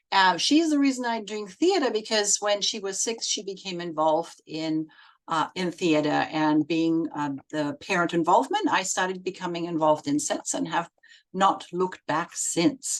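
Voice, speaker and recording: A woman with a German accent, very wide pitch swings and a moderate pace. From Germany. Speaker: set designer and children's book illustrator. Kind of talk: recorded presentation. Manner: hesitant, many fillers.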